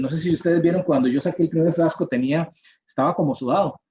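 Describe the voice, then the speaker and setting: This man's voice comes across as somewhat breathy. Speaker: university professor. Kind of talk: lecture.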